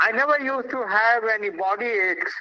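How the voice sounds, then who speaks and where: A man's raised, projected voice at a moderate pace. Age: 70s. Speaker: invited speaker at a youth event. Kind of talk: public talk to schoolchildren.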